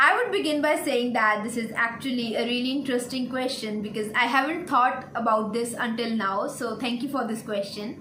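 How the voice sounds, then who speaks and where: A woman speaks at a high pitch and a moderate pace, with hardly any pauses and ordinary pitch variation. Noticeable background noise and audible room echo are present. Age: 20s. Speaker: veterinary student YouTuber. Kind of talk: Q&A vlog.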